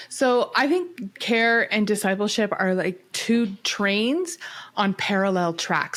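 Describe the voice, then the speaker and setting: A woman with a Canadian accent and a plain, everyday voice speaks fairly slowly at a medium pitch with ordinary pitch variation, in a very clean recording with a silent background. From Canada. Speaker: mental health and care ministry advocate. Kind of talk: podcast interview.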